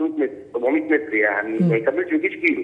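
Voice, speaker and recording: With an Egyptian accent, a man speaks against noticeable background noise. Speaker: caller. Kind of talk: phone-in commentary. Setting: phone call.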